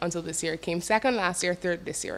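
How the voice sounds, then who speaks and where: The speaker has a Barbadian accent and a fairly even intonation. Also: woman. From Barbados. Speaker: calypso singer and songwriter. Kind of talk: TV interview.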